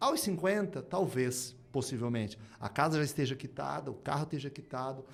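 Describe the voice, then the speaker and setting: A man speaks with lively intonation. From Brazil, moved between Curitiba, Rio and Manaus. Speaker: speaker and writer on innovation. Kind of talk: podcast interview.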